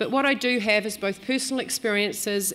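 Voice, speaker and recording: In a New Zealand accent, a woman speaks at a moderate pace and medium pitch with fairly even intonation. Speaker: business executive. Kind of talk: speech. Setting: stage with audience.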